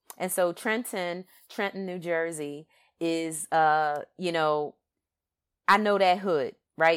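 With a Philadelphia accent, a woman speaks in a fairly low pitch on a very clean recording with a silent background and a dry, close sound with no echo. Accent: Philadelphia, East Coast US. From Philadelphia, US East Coast. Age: 50s. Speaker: podcast host. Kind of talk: monologue podcast commentary. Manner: animated, conversational with frequent fillers.

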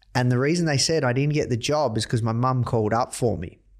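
The recording is very clean with a silent background. A man talks at a moderate pace and medium pitch with ordinary pitch variation. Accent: Australian. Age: 30s. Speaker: entrepreneur, company CEO. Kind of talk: interview.

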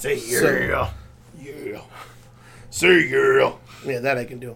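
A man puts on a character voice. It comes out gravelly. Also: fairly slow pace.

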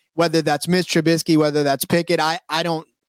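A man with an unremarkable speaking voice, fairly high in pitch, at a fairly quick pace. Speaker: sports betting podcast co-host. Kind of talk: casual chat.

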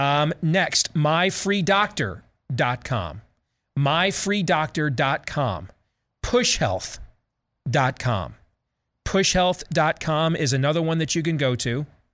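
A man with a Midwestern accent speaks very slowly at a fairly high pitch, with lively intonation and long, frequent pauses. The recording is very clean with a silent background, and his loudness stays very even. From US Midwest. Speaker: talk radio host. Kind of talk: talk radio commentary.

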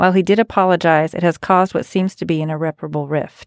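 A woman speaks at a fairly quick pace in a plain, everyday voice with medium pitch. The recording is very clean with a silent background and a dry, close sound with no echo. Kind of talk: casual chat.

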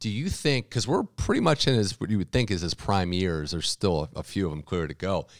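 In a dry, close sound with no echo, a man with a very deep, low pitch speaks at a very fast pace with lively intonation and hardly any pauses. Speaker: podcast host. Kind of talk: interview for a tennis podcast. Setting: studio.

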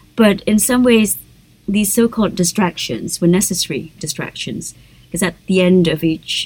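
This woman speaks with an Indonesian accent. Her voice is somewhat breathy. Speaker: novelist and poet. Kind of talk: interview.

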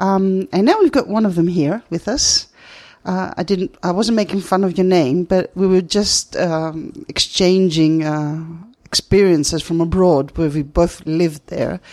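The voice has a Greek accent and a dark, mellow tone. It moves at a fairly slow pace. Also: woman, fairly low pitch for a woman, ordinary pitch variation. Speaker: radio host. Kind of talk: interview. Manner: halting.

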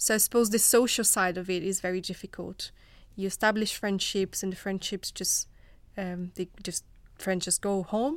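A woman in a Portuguese accent at a medium pitch and moderate pace, with fairly even intonation and a very clean recording over a silent background. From Brazil. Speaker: research fellow. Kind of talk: panel discussion.

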